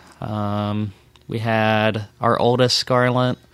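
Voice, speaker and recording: A man with an American accent in a flat monotone. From Texas, Dallas suburb. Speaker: accountant. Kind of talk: casual chat.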